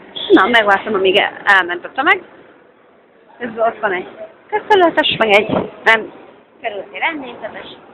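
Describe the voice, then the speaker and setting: A woman's fairly high voice with very wide pitch swings and long, frequent pauses, over noticeable background noise. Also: moderate pace. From Hungary. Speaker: vlogger. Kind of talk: casual vlog with street interviews. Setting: metro station.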